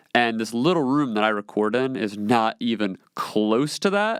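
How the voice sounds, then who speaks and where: Here a man speaks at a fairly low pitch. The sound is dry and close with no echo, on a very clean recording with a silent background. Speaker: podcast host. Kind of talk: solo podcast Q&A monologue. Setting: small home recording room. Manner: loud; casual, filler-heavy.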